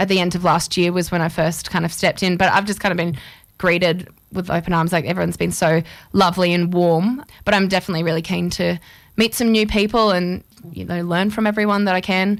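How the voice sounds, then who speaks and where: A woman speaks with an Australian accent at a fairly quick pace. The recording is very clean, with a silent background. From Queensland, Australia (Toowoomba, Chinchilla). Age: 20s. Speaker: singer-songwriter. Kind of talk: radio interview. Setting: radio studio.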